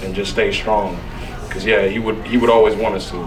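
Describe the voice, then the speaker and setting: Over music and audible room echo, a man talks very fast at a fairly low pitch with fairly even intonation. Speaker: son-in-law giving a eulogy. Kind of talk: eulogy at a family memorial. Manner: loud.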